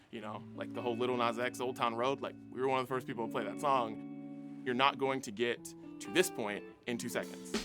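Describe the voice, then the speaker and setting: Music plays behind a man with an American accent. His medium-pitched voice moves in very wide pitch swings. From West Virginia, USA. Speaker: radio DJ, host and emcee. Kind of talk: interview answer, casual talk to camera.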